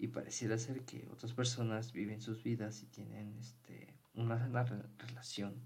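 Somewhat breathy and monotone, the voice moves at a fairly slow pace with hardly any pauses and audible room echo. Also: man, medium pitch for a man. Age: 20s. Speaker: podcast host. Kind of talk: casual monologue.

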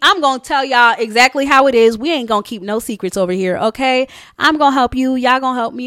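Raised, projected, animated and upbeat, with an American accent, in a very clean, dry, close recording with no echo and a silent background. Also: woman. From New York, US. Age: 20s. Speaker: podcaster and hairstylist. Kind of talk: casual solo podcast monologue, with a pep talk near the end. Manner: animated, conversational; upbeat, motivational pep-talk tone, urging listeners on.

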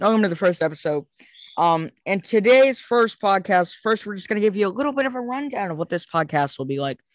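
A loud, very fast man's voice, high in pitch with lively intonation, over a quiet background. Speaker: podcast host. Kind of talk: casual chat.

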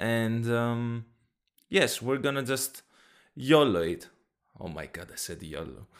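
With a Greek accent, a man talks at a medium pitch with lively intonation, and the recording is very clean with a silent background. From Greece. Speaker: podcast host. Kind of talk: casual chat. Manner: animated.

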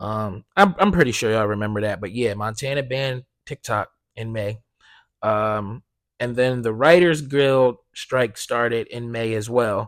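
An animated tone at a fairly slow pace with ordinary pitch variation, on a very clean recording with a silent background. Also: man, medium pitch for a man. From US Northeast (South Jersey). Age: 20s. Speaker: podcast host. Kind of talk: casual solo monologue.

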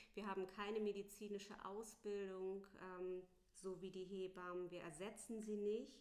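A woman speaks at a medium pitch with fairly even intonation. Some room echo can be heard. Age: 40s. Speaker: doula. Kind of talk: interview. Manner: hesitant, many filler sounds.

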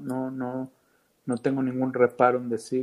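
A man talks at a moderate pace, his pitch sitting in the medium range. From Mexico, Veracruz. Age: 40s. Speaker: film director. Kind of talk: casual interview chat. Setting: call with cameras off. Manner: halting, many fillers.

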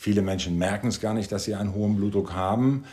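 His tone dark and mellow, a man speaks at a fairly low pitch in a monotone, flat intonation. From Sweden. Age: 60s. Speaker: cardiologist. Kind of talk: interview. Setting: studio table.

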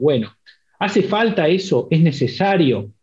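A somewhat breathy male voice with lively intonation at a moderate pace. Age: 40s. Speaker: university program director. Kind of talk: interview.

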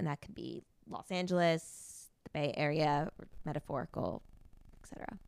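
A woman speaks with lively intonation and vocal fry at a moderate pace. Her pitch is very deep and low. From US Northeast, near New York. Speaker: podcast host. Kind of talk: casual interview chat. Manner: animated.

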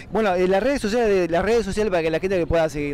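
A man talks very fast at a high pitch, with ordinary pitch variation. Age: 40s. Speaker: radio host. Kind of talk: casual chat.

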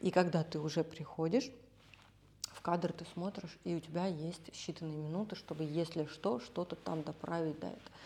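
A woman's fairly low, dark and mellow voice, somewhat breathy, at a moderate pace, with fairly even intonation and big swings in loudness. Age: 30s. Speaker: makeup artist. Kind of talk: casual chat.

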